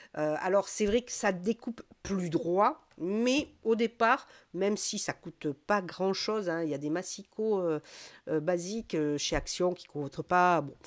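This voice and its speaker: A woman's medium-pitched voice, very slow pace and lively intonation, in a very clean recording with a silent background. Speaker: crafts youtuber. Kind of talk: tutorial. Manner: hesitant, many fillers.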